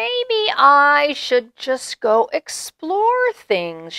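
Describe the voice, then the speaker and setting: The voice sounds female and is a put-on character voice with high pitch. It moves at a very slow pace. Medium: read story.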